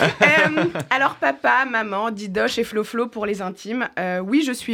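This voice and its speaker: A woman speaks at medium pitch in a bright, sharp tone. Her intonation is lively and her pace fairly slow. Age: 30s. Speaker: comedian. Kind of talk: scripted chronicle.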